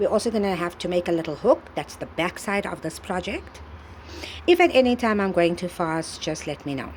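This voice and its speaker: Using a normal speaking voice, a woman talks at a fairly quick pace with lively intonation and a medium pitch. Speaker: crochet tutorial creator. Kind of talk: tutorial.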